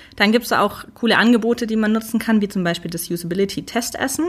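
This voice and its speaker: Moderate pace and ordinary pitch variation from a woman with a somewhat breathy voice. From Stuttgart area, Swabia. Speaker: UX researcher. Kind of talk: interview. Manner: structured.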